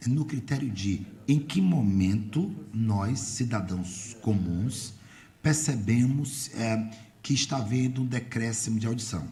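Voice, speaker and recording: The voice is somewhat breathy with a dark, mellow tone, and audible room echo surrounds it. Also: man. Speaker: radio host and journalist. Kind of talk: radio interview.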